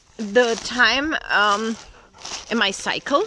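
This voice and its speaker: A woman with a German accent speaks at a fairly high pitch. Noticeable background noise runs underneath. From Germany. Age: 40s. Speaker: vlogger and German teacher. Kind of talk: casual vlog talk while walking. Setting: outdoors on a dog walk. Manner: halting, with fillers.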